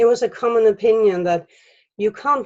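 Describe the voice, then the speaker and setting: A woman's dark, mellow voice carries ordinary pitch variation. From Denmark, central Jutland. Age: 40s. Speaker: storyteller. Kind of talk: reading aloud.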